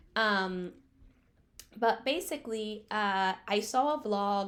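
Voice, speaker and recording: A woman speaks with a Spanish accent. Her pitch is medium and varies in an ordinary way. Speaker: book reviewer. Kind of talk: casual review vlog. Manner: halting, many fillers and repeats.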